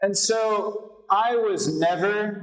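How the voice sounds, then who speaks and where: A man talks with an American accent. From United States. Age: 20s. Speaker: volunteer English teacher. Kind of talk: seminar presentation. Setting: seminar room with audience of teachers.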